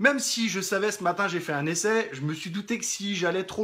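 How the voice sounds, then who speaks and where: Here a man talks at a fairly quick pace. His pitch is high, with ordinary pitch variation. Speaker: life coach. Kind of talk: live stream talk. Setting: live video stream from rural property. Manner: fast.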